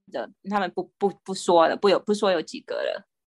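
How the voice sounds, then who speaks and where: A woman's medium-pitched voice at a moderate pace, dry and close with no echo, with music in the background. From Taiwan. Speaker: guest living abroad. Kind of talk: casual interview. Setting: remote call.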